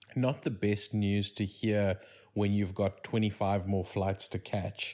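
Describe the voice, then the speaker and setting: A man with a South African accent speaks at a very slow pace, fairly low in pitch and fairly even in intonation. The recording is very clean, with a silent background. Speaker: podcast host. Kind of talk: casual chat.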